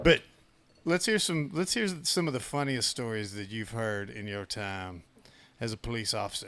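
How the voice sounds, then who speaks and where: Here a man speaks in a Southern US accent. His pace is moderate and his intonation lively. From US South. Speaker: podcast host, police sergeant. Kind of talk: casual chat.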